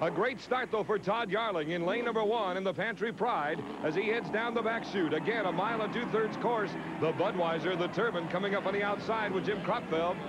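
Amid loud background noise, the man speaks fairly quickly with ordinary pitch variation. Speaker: race commentator. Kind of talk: commentary. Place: stadium.

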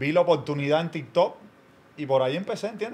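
With ordinary pitch variation and a fairly high pitch, this man talks at a fairly quick pace. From Cuba. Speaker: comedy content creator. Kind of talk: casual chat. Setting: studio. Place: studio. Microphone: studio mic.

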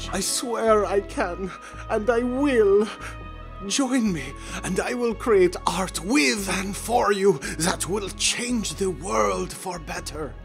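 Over clear music in the background, a man puts on a high-pitched character voice at a very slow pace. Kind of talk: comic overacting. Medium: machinima. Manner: melodramatic, passionate.

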